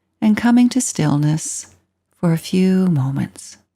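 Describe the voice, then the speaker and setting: Speaking very slowly, a woman with a medium-pitched voice sounds somewhat breathy. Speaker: meditation teacher. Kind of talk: channel introduction.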